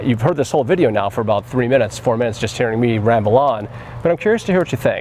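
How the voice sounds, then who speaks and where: Over noticeable background noise, a man talks at a very fast pace with medium pitch and very even loudness. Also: ordinary pitch variation. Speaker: photographer and gear reviewer. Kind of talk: product review.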